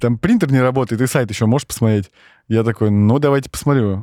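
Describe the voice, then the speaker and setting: A man talks at a very fast pace with a dark, mellow tone. His medium pitch varies in an ordinary way, and the sound is dry and close with no echo. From Siberia, Russia (Norilsk, Krasnoyarsk). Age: 30s. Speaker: operations director at a tech company. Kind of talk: casual interview chat. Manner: animated.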